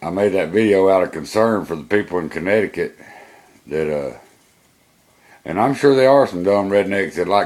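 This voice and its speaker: With an American accent, a man talks at a moderate pace in a fairly low pitch, his intonation lively. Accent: Georgia Southern redneck. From Georgia, US South. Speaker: college student and vlogger. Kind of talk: personal video monologue. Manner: casual, hesitant with fillers.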